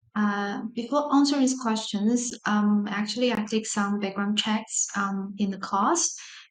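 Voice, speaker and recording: The speech moves at a fairly slow pace with hardly any pauses and ordinary pitch variation, heard with audible room echo and noticeable background noise. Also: woman, fairly high pitch for a woman. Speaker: university lecturer. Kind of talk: lecture.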